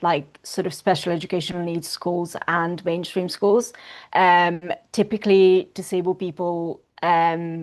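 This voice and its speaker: Against a quiet background, a woman with an Italian accent talks at a fairly slow pace in a monotone, flat intonation. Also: fairly low pitch for a woman. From northern Italy, near Milan. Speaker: para-swimmer and activist. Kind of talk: interview.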